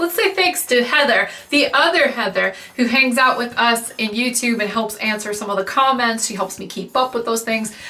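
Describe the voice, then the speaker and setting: A woman speaks loudly in a high voice with an animated tone. Noticeable background noise runs underneath. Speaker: wig reviewer and business owner. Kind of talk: casual outro talk to viewers.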